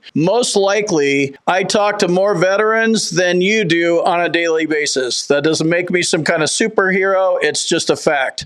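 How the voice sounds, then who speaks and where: A high-pitched man with an American accent, at a moderate pace with hardly any pauses, ordinary pitch variation, and very even loudness, over noticeable background noise. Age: 50s. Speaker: veteran benefits YouTuber. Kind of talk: casual explainer video.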